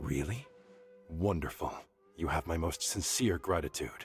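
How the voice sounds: Over faint background music, a man does a put-on character voice, extremely low and husky with a rough edge, with lively intonation at a fairly slow pace.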